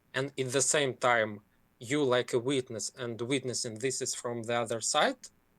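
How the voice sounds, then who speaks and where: This man speaks with a Ukrainian accent. His intonation stays monotone and flat. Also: medium pitch for a man, moderate pace, very clean recording, silent background. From Ukraine. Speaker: caller. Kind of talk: casual chat. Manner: halting.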